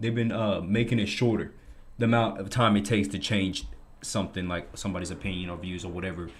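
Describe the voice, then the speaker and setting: A man speaks at a very fast pace, somewhat breathy, with audible room echo. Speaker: podcast co-host. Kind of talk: casual chat. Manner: halting.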